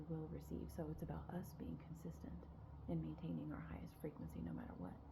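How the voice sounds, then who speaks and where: A soft-spoken voice at a moderate pace. There is noticeable background noise and audible room echo. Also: woman. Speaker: spiritual guide. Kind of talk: spiritual talk to camera. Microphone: quiet recording.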